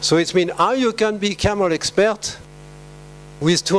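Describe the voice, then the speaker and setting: Over noticeable background noise, a man speaks with a French accent at a fairly slow pace and ordinary pitch variation. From France. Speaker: veterinary scientist. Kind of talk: conference talk. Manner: halting with many fillers.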